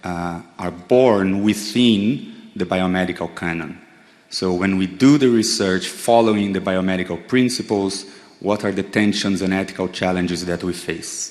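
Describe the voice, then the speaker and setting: Speaking at a moderate pace with fairly even intonation, a man with a Brazilian accent has a very deep, low pitch, and the room echo is audible. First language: Portuguese. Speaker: psychedelic therapy researcher. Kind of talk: lecture. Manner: halting, with frequent fillers.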